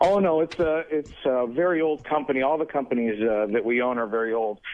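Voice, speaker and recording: Fairly quick male speech in a normal speaking voice, with ordinary pitch variation. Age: 30s. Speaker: businessman. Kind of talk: interview. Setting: phone call.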